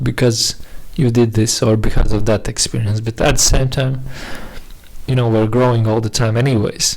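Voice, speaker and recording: A man with a non-native accent speaks at medium pitch with fairly even intonation amid noticeable background noise. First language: not English. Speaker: vlogger. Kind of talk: casual monologue. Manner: halting, many repetitions and fillers.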